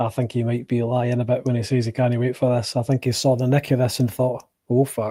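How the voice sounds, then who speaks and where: A man with a Scottish accent, fairly quick and with hardly any pauses, in a dark, mellow, monotone, flat delivery. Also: medium pitch for a man. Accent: soft Scottish. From Scotland. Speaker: food reaction streamer. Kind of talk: live watch-along commentary. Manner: casual, sweary.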